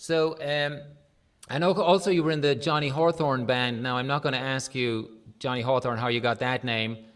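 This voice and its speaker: With an Irish accent, a man speaks at a medium pitch and moderate pace with ordinary pitch variation over noticeable background noise. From Ireland. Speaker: livestream music show host. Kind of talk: casual interview.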